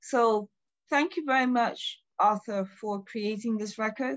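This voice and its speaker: Over a quiet background, a woman speaks at a fairly slow pace. Her voice is fairly high in pitch and somewhat breathy. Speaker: museum director. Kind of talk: formal welcome remarks. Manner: formal. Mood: warm, grateful. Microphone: video call.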